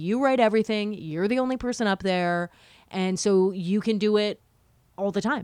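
A woman with a Canadian accent has an ordinary speaking voice, medium pitch and ordinary pitch variation. The recording is very clean, with a silent background. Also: moderate pace. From Ottawa, Canada. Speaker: radio talk show host and comedian. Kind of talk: casual interview chat.

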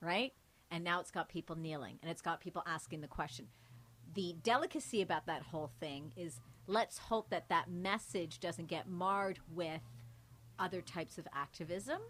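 A woman with a Canadian accent and a normal speaking voice talks at a moderate pace with a fairly low pitch and lively intonation, and the recording is very clean with a silent background. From Canada, Mississauga. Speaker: TV news anchor. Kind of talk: casual interview conversation. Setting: hotel, live recording.

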